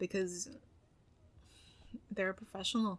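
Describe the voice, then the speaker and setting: Soft-spoken, a woman talks at a fairly quick pace in a medium pitch with a bright, sharp tone and ordinary pitch variation. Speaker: podcast host. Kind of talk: casual chat.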